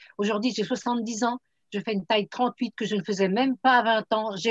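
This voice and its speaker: A woman's fairly high, somewhat breathy voice with fairly even intonation, recorded dry and close with no echo. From France, Troyes. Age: 70s. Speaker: product distributor. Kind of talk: testimony.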